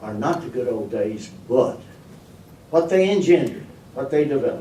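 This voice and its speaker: A man's fairly slow, lively-intoned speech in a room with audible echo. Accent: rural Kentucky. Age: 80s+. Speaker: storyteller and humorist. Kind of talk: after-dinner humorous talk. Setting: meeting room, speaking to a board. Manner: halting, repeats words.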